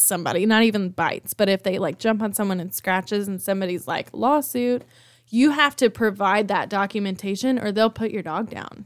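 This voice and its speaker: Over a very clean recording with a silent background, a woman with an ordinary speaking voice talks at a moderate pace in a medium pitch with ordinary pitch variation. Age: 20s. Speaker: new mother. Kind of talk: casual chat. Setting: studio.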